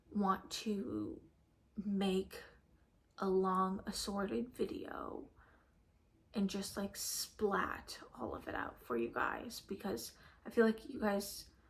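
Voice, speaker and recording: A woman speaks at a very slow pace with a medium pitch and vocal fry. Her pitch swings very widely. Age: 20s. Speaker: lifestyle vlogger. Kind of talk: casual vlog rant. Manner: rambling with many fillers.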